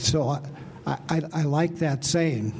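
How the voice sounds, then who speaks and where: A man's unremarkable speaking voice, fairly high in pitch with ordinary pitch variation. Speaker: Bible study participant. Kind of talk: casual group discussion.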